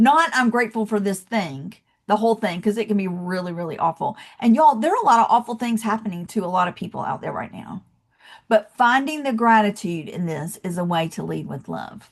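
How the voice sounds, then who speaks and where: Lively intonation in a Southern US accent, at a fairly quick pace with big swings in loudness. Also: woman, medium pitch for a woman. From US South, Atlanta, Georgia. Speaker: motivational speaker. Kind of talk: motivational talk. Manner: animated.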